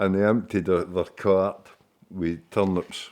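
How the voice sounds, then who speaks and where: A speaker with a Scottish accent and a dark, mellow tone. The intonation stays fairly even over a quiet background. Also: man. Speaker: local storyteller. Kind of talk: casual monologue. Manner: hesitant, with many fillers.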